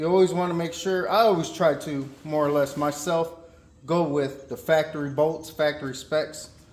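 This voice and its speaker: A high-pitched man with an American accent talks at a moderate pace. His intonation is fairly even, and there is noticeable background noise. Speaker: car mechanic YouTuber. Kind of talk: tutorial. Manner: monotone; casual.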